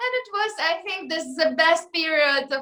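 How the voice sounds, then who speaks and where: A woman's raised, projected voice, bright and sharp in tone, with ordinary pitch variation and a fairly slow pace. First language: not English. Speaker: singer. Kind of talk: interview. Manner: halting, many fillers.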